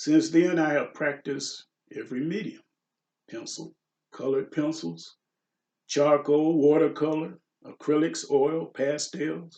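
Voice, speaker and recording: A man speaks at a fairly slow pace with long, frequent pauses. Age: 60s. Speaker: pastel portrait artist. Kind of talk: reading aloud a prepared announcement. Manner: read from a script.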